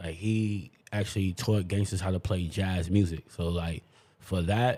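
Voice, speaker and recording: A man speaks slowly-ish in a very deep, low voice with a dark, mellow tone and a New York accent. His intonation stays fairly even at a fairly slow pace. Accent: New York City. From New York City, Queens. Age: 30s. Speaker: clubhouse member, shooting survivor. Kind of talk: interview. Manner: casual.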